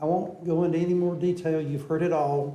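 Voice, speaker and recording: Audible room echo surrounds a man's dark, mellow voice. He sounds somewhat breathy, with fairly even intonation. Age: 70s. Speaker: public commenter at city council. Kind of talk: public comment speech. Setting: city council meeting chamber.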